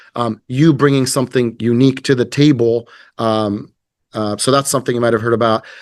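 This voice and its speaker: A man speaks at a medium pitch and a fairly quick pace. His intonation stays fairly even over a quiet background. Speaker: company representative presenting to real estate agents. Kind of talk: business presentation with sales pitch. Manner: hesitant, many fillers.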